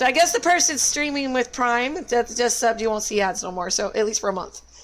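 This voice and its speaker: Against noticeable background noise, a woman speaks at a fairly quick pace and a high pitch, with ordinary pitch variation. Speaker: video game streamer. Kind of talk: live game stream chat. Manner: casual, chatty.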